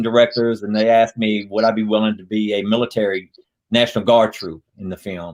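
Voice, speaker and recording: This man has a slight Louisiana accent. His pitch is medium. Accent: Southern, slight Louisiana. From US South, Louisiana. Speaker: actor and retired Air Force veteran. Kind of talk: interview.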